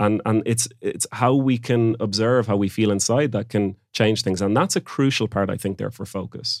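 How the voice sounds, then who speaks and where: Hardly pausing, a man with an Irish accent talks at a moderate pace and medium pitch with ordinary pitch variation, on a very clean recording with a silent background. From Ireland (Galway, Oranmore). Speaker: founder of a focus coaching company. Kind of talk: interview.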